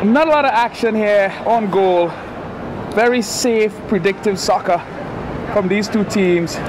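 Amid noticeable background noise, a man speaks at a high pitch and a fairly slow pace, with ordinary pitch variation and long, frequent pauses. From Trinidad and Tobago. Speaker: soccer commentator. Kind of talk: live sports commentary. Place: stadium.

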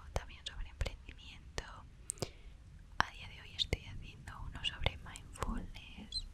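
A soft-spoken woman is whispering at a fairly slow pace. Loud background noise is present. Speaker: ASMR creator. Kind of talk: soft-spoken ASMR life-story chat. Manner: soft close-mic ASMR whisper. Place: home room. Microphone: studio mic.

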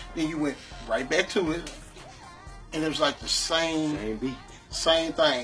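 A man talks with big swings in loudness. Faint music plays in the background. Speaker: guest. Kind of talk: interview answer. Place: studio.

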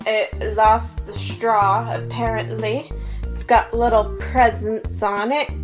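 A woman talks very slowly while clear music plays in the background. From Ontario, Canada. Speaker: vlogger. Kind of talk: casual talk to camera. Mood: happy, excited. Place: home room. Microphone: phone near.

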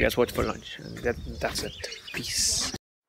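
The recording sounds dry, with no echo, though noticeable background noise is present. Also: man. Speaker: travel vlogger. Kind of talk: casual vlog chat. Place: open country. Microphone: phone near.

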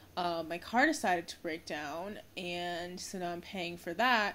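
A woman speaks in an ordinary speaking voice, fairly slowly and at a fairly low pitch. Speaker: vlogger. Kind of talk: casual vlog chat. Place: home room. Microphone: phone near.

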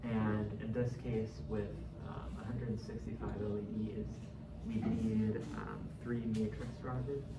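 A man speaks very slowly while loud background noise runs underneath. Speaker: presenter. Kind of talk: project presentation. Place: meeting room.

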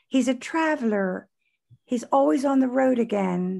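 This is a woman speaking. Her pitch swings very widely. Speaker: interviewer, host. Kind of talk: interview introduction. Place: home room. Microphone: video call.

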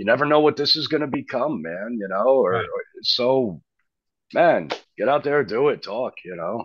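A man's medium-pitched voice in an American accent, with vocal fry, lively intonation and a moderate pace, recorded dry with no echo against a quiet background. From New Jersey, US. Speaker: rock band frontman. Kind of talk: casual interview. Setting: remote call. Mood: relaxed, casual. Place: studio. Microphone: video call.

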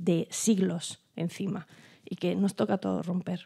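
A woman talks at a fairly slow pace in a dark, mellow tone. The background is quiet. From Europe, not Spain. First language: not Spanish (speaking Spanish). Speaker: performing arts professional, panelist; panelist. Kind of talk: round-table discussion. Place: stage. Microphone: handheld.

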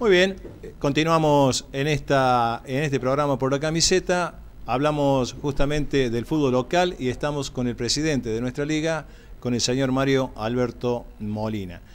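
At a fairly slow pace, a man talks with ordinary pitch variation. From Córdoba, Argentina. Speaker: sports TV co-host. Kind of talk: interview questions on live TV. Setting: TV studio. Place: studio. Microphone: podium.

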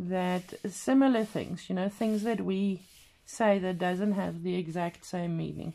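With a non-native accent, a woman speaks at a fairly slow pace. Her tone is dark and mellow, with ordinary pitch variation. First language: not English. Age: 40s. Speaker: craft vlogger. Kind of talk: casual craft tutorial video. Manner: halting, with fillers. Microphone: camera far.

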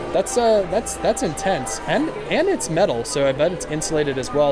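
The speech moves at a fairly quick pace, with music in the background. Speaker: shopping vlogger. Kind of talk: casual vlog chat. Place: shop. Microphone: phone near.

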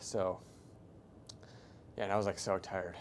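A man speaks at a moderate pace against light background noise. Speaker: fitness vlogger. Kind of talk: casual vlog chat. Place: gym. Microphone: lapel.

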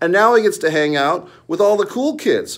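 A man speaks over a quiet background. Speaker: wrestling commentary YouTuber. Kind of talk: angry profanity-laced wrestling rant. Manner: scornful, sneering and profane, mocking the wrestler with crude jabs; heated and repetitive, with rhetorical questions and filler hesitations. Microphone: phone near.

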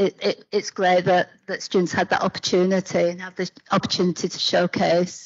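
Over a quiet background, a woman speaks with a British accent. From UK. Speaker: academic panel chair. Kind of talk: panel discussion. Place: hall.

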